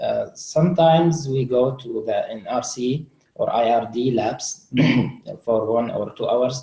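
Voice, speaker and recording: Speaking at a fairly slow pace, a man talks with an Arabic accent. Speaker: refugee student. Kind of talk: webinar interview. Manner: halting.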